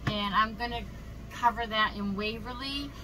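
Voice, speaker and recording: A woman speaks over noticeable background noise. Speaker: craft vlogger. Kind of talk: casual tutorial. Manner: casual, chatty.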